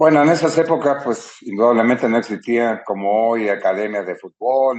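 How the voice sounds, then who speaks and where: Here is a man with a normal speaking voice at medium pitch, his intonation lively and his pace fairly quick. The sound is dry and close, with no echo. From Chile. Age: 60s. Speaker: retired footballer. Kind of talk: interview.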